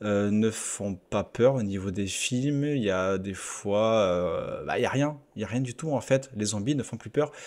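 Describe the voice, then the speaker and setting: In a very clean recording with a silent background, a man speaks very slowly at medium pitch with ordinary pitch variation. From southwest France. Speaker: YouTuber, gaming channel host. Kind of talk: casual video commentary. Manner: hesitant, many fillers.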